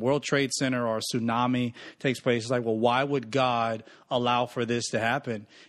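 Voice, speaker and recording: This man has an American accent and a medium pitch, speaking at a moderate pace. The recording is very clean and the background silent. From US South, Mississippi. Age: 30s. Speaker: pastor. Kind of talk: casual chat.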